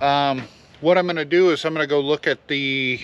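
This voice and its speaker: A man talks with a bright, sharp tone at a moderate pace. The sound is dry, without echo. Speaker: farmer vlogger. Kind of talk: casual vlog chat. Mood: frustrated but resigned. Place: farm machine. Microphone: phone near.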